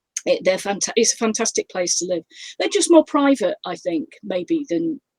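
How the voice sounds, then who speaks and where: A woman with a slight northern English accent speaks at a moderate pace and a fairly high pitch. Her pitch swings very widely, and the sound is dry and close with no echo. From northern England. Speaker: crime author. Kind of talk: interview. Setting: live video stream. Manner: hesitant, many fillers.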